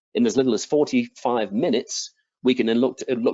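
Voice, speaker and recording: A man speaks fairly quickly in an English accent. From England. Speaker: product manager presenting flooring products. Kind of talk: webinar product presentation.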